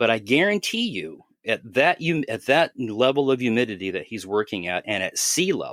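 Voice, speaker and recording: An unremarkable speaking voice with lively intonation moves at a moderate pace, dry and close with no echo on a very clean recording with a silent background. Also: man. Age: 60s. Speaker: airbrushing expert guest on a podcast. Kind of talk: casual explanatory podcast talk. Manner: conversational, with frequent repetitions and fillers.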